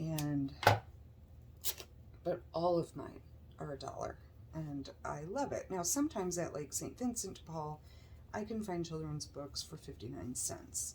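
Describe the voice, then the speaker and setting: A woman with an American accent, fairly slow and broken by long, frequent pauses. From US Midwest, Chicago suburbs. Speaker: crafting YouTuber. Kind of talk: tutorial. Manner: chatty, with filler words.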